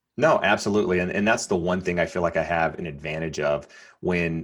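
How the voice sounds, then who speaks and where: Fairly even intonation and a moderate pace come through in a very clean recording with a silent background. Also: man. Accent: American. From North Carolina. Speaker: real estate agent. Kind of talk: casual interview. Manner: halting, many fillers and repeats.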